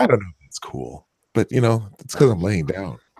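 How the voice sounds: In a put-on character voice, a man sounds gravelly and fairly low-pitched, with very wide pitch swings at a moderate pace, recorded dry and close with no echo.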